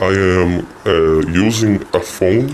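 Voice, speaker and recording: A man's fairly low voice with ordinary pitch variation over noticeable background noise. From Brazil. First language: Portuguese. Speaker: YouTube commentator. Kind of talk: video commentary.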